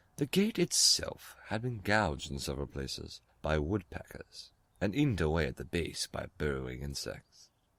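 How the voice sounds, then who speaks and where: A man speaks at a moderate pace in a very deep, low voice with vocal fry. His pitch swings very widely. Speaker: narrator of scary stories. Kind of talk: horror story narration.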